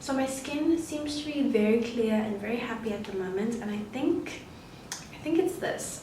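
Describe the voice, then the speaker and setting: Soft-spoken and fairly high-pitched, a woman talks at a moderate pace with lively intonation, amid noticeable background noise and audible room echo. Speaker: beauty vlogger. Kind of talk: casual vlog talk. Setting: bathroom at home. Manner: soft-spoken, quiet. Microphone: camera mic, no external microphone, quiet.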